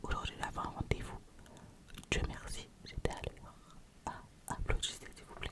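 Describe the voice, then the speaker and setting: A woman whispers at a moderate pace, with noticeable background noise around her. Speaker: ASMR creator. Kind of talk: casual talk to camera, ASMR-style whispered introduction. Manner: whispered, soft-spoken.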